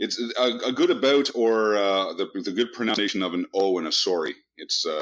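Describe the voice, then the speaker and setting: A man talks at a fairly quick pace with a Canadian accent. The background is quiet. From Canada, Toronto. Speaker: podcast host. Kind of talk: interview. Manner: halting.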